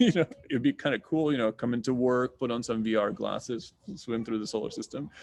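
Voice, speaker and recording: With a slight Russian accent, a man talks at a fairly quick pace and ordinary pitch variation. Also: medium pitch for a man. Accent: slight Russian accent in American English. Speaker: astronomy professor. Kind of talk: Q&A answer in an online science talk. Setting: video call. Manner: casual, many fillers.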